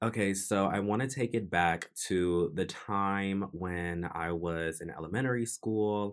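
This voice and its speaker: A man's fairly low voice, an unremarkable speaking voice with ordinary pitch variation. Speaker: podcast host. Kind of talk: personal storytelling monologue. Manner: reflective, introspective.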